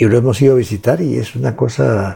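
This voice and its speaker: Dark and mellow in tone, this voice carries a somewhat breathy quality. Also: man. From Guatemala, Huehuetenango. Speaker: economist and author. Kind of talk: interview. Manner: halting, many repetitions.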